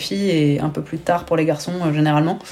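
A woman speaks with a very deep, low pitch and a dark, mellow tone. Her intonation is monotone and flat. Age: 30s. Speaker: former pro basketball player turned entrepreneur. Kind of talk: interview. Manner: hesitant, many fillers.

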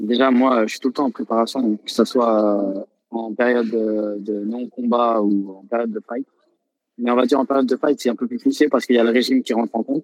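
A man with an ordinary speaking voice and a medium pitch talks at a fairly quick pace. His intonation is fairly even, and the sound is dry and close with no echo. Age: 20s. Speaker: professional Thai boxer. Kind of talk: interview.

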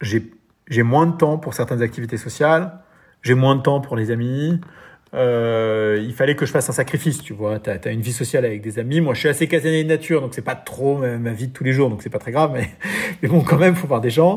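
Somewhat breathy and at a fairly quick pace, a man talks in a medium pitch with ordinary pitch variation, captured on a very clean recording with a silent background. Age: 40s. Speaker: entrepreneur and amateur triathlete. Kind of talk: interview.

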